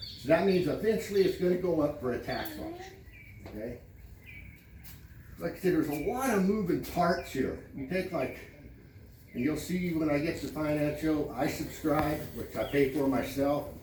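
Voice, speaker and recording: Amid noticeable background noise and audible room echo, a man with a fairly high pitch and ordinary pitch variation speaks at a moderate pace with long, frequent pauses. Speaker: homeowners association president. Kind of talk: community meeting address. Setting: public meeting with audience. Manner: loud, raised voice; blunt, brusque.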